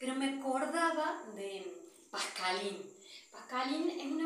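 Audible room echo surrounds a woman speaking at a very slow pace in a high pitch. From Argentina. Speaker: missionary nun. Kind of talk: testimony. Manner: halting.

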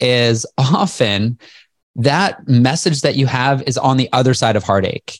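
A man speaks at a fairly slow pace and medium pitch, in an ordinary speaking voice. The loudness is very even, and the sound is dry and close with no echo. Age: 40s. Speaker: entrepreneur and motivational speaker. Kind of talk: interview. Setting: video call.

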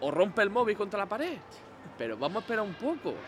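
Amid noticeable background noise, a man talks at a high pitch with very wide pitch swings. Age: 20s. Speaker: gaming podcaster. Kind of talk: casual chat.

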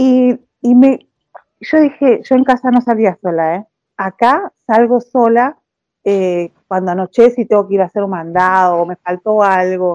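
Speaking at a fairly slow pace, a woman has a dark, mellow tone, a fairly high pitch and ordinary pitch variation. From Argentina. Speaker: recent immigrant interviewee. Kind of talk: interview. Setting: phone call.

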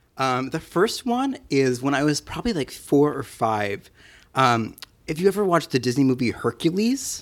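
Heard in a plain, everyday voice with an American accent, the speaker talks at a moderate pace with lively intonation on a very clean recording with a silent background. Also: man, fairly high pitch for a man. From New Jersey and Pennsylvania. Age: 20s. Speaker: photographer and podcast editor. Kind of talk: casual chat.

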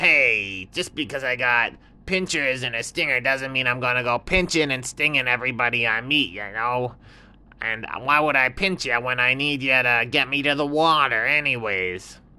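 The pitch falls in the low-to-middle range. It is a put-on character voice. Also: moderate pace. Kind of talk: bedtime story character voice. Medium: read story. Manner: brash, casual, a little defensive.

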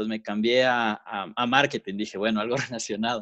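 A man speaks in an ordinary speaking voice, medium-pitched and at a fairly quick pace. The sound is dry and close with no echo, over a quiet background. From Quito, Ecuador. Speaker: podcast co-host, business owner. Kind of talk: casual chat.

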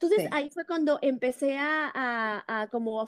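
A woman's high-pitched voice at a fairly slow pace, with lively intonation, a dry, close sound with no echo, and a very clean recording over a silent background. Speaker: media entrepreneur. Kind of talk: casual chat. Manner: halting with repetitions.

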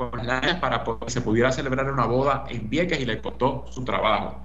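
The recording of a man carries noticeable background noise and audible room echo. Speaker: political commentator. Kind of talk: radio commentary.

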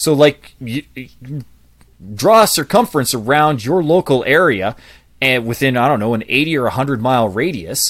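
A man talks at a fairly quick pace with lively intonation, an ordinary speaking voice. The recording is very clean, the background silent. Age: 40s. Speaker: public speaking coach and author. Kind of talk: interview.

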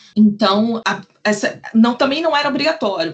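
A woman talks in a fairly high pitch. Her voice is somewhat breathy. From Brazil, Rio de Janeiro. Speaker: legal researcher. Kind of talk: podcast interview.

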